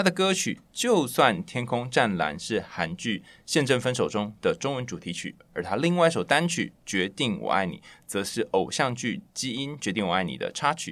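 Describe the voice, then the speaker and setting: A man speaks at a medium pitch and moderate pace, his voice moving through very wide pitch swings. Vocal fry runs through his speech. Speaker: radio host. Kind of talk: interview, casual chat.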